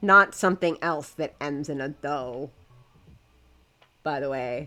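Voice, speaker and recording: At a very slow pace, a woman speaks with a very deep, low pitch, a bright, sharp tone and ordinary pitch variation. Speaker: game streamer. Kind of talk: casual live stream chat. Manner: halting, repeating words; trying to slow down.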